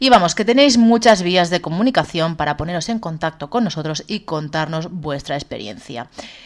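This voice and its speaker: This woman has a fairly low pitch, a moderate pace and very wide pitch swings. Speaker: podcast co-host. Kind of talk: casual chat. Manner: loud.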